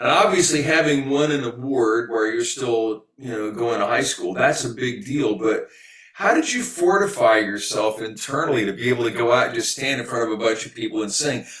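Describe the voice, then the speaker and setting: Amid noticeable background noise, a man talks at a fairly quick pace with hardly any pauses. His medium-pitched voice has lively intonation. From Texas. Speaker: podcast host, solo performer. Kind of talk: interview.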